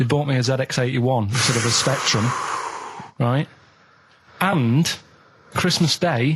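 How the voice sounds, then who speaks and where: A man speaks at a medium pitch and moderate pace, with ordinary pitch variation. His loudness stays very even, and he leaves long, frequent pauses. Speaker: radio show regular. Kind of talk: radio show banter, telling anecdotes.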